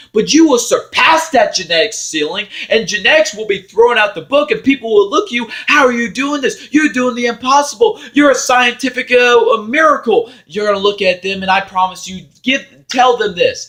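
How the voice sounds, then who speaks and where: A loud man with an extremely high, bright, sharp voice, lively intonation, a moderate pace and hardly any pauses. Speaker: motivational vlogger. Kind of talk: motivational monologue.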